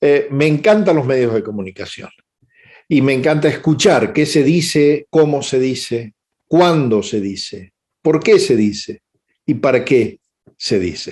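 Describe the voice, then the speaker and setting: With lively intonation and a fairly high pitch, a man speaks at a fairly slow pace. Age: 60s. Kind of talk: webinar lecture. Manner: hesitant fillers (eh).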